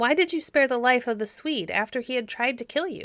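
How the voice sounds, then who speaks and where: Someone in a put-on character voice talks at a fairly quick pace with lively intonation. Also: woman, high pitch for a woman. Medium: read story.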